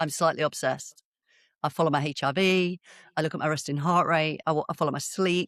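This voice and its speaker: A woman's voice with ordinary pitch variation comes through a very clean recording with a silent background and a dry, close sound with no echo. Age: 50s. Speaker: biomechanics educator for practitioners. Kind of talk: podcast interview. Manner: conversational with frequent hesitations.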